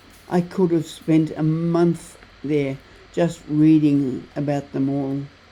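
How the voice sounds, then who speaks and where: A woman with an Australian accent speaks very slowly in a very deep, low voice, her intonation monotone and flat. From Tasmania, Australia. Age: 80s+. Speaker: travel vlogger. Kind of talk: travel vlog narration.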